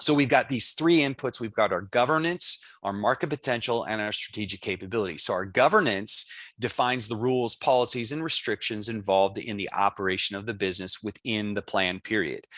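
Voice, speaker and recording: Over a quiet background, a man talks at a fairly quick pace with hardly any pauses, lively intonation and a bright, sharp tone. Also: medium pitch for a man. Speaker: book author presenting. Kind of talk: conference presentation. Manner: fast-paced; hesitant, many fillers.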